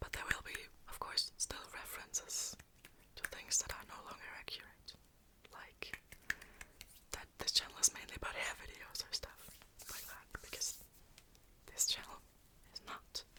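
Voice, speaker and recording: Whispering broken by long, frequent pauses, with noticeable background noise. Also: moderate pace. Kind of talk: ASMR whisper ramble. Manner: whispered, soft-spoken.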